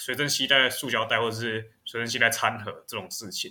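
Bright and sharp in tone, a man's medium-pitched voice moves at a moderate pace. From Taiwan. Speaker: podcast co-host. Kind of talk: casual chat.

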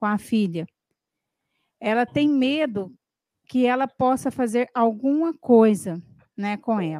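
A woman speaks very slowly with lively intonation and a fairly high pitch, her tone dark and mellow. The sound is dry and close with no echo, on a very clean recording with a silent background. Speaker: co-host reading listener questions. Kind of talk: live Q&A show.

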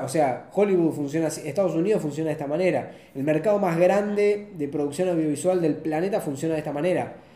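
In a Rioplatense accent, the speaker talks very fast with fairly even intonation, amid audible room echo and noticeable background noise. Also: man. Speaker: director of photography. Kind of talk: casual chat.

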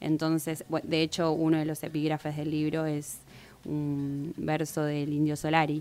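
A dark, mellow tone at a fairly slow pace, with monotone, flat intonation. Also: woman, very deep, low pitch for a woman. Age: 30s. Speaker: poet. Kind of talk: interview.

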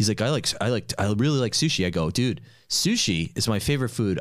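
Medium-pitched male voice in an American accent. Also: very clean recording, silent background. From New York. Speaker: podcast host. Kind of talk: casual chat.

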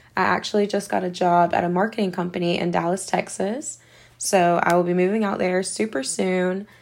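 Fairly even intonation, with a Southern US accent. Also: woman. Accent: Southern American. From US South, South Carolina. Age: 20s. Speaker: podcast host. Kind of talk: solo podcast introduction.

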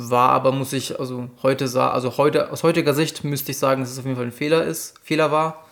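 The voice is a man's, an unremarkable speaking voice at medium pitch. He talks fairly quickly with hardly any pauses and fairly even intonation. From Upper Franconia, Bavaria (near Bamberg). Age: 20s. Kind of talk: casual interview chat.

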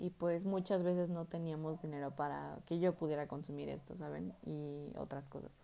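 Speaking with a Mexican accent, a woman talks at a fairly slow pace in a dark, mellow tone. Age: 20s. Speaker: student podcaster. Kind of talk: casual monologue.

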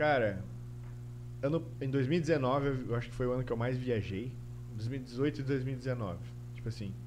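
Long, frequent pauses break up a man's fairly even intonation at a medium pitch, with audible room echo around him. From Santa Catarina, Brazil (Guaramirim). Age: 30s. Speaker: designer and YouTuber. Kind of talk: casual interview chat.

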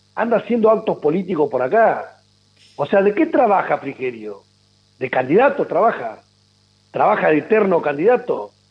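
A man with a high pitch, very wide pitch swings and long, frequent pauses. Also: moderate pace. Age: 50s. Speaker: politician. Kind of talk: radio interview.

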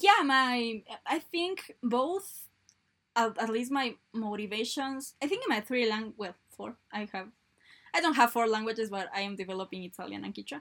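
With a Spanish accent, a woman talks at a moderate pace and a fairly high pitch. Her intonation is lively. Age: 20s. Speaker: university student. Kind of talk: casual chat. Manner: halting.

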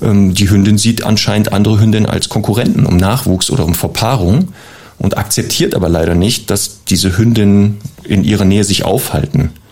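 There is noticeable background noise as a man talks. His pitch is fairly low and his pace fairly quick. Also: ordinary pitch variation, very even loudness. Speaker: dog trainer. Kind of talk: advice segment.

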